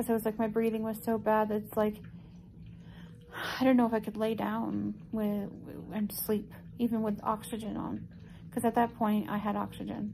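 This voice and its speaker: Over light background noise, a woman talks at a moderate pace. She leaves long, frequent pauses. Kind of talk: casual vlog chat. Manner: weak, breathy, tired-sounding patient voice. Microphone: phone near.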